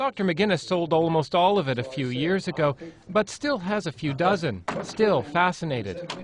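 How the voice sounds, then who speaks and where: Over noticeable background noise, a man with a high-pitched voice speaks at a moderate pace with lively intonation. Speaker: TV news reporter. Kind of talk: TV news report narration.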